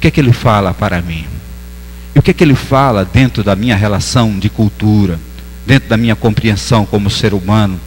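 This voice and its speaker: Amid noticeable background noise, a man with a northeastern Brazilian accent speaks with very wide pitch swings. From Northeast Brazil. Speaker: pastor. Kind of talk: sermon. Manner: halting.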